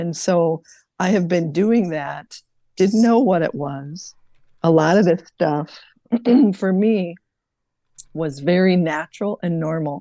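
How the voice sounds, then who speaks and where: Long, frequent pauses break up a woman's very slow speech. Her tone is dark and mellow, her pitch fairly low with ordinary variation. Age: 60s. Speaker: spiritual live-stream host. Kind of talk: casual chat.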